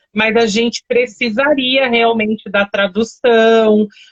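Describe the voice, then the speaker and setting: A woman at a fairly high pitch, speaking at a very slow pace. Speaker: live stream host. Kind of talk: casual chat.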